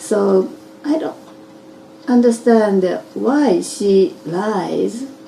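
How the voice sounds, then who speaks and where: A woman speaks with a Japanese accent and lively intonation. Noticeable background noise runs underneath. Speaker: interviewee. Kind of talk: interview. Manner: halting.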